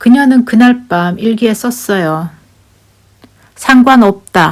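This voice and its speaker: Speaking at a very slow pace in a Daegu accent, a woman sounds somewhat breathy, with ordinary pitch variation. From Korea, Daegu. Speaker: YouTuber. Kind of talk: casual storytelling monologue. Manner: chatty, animated.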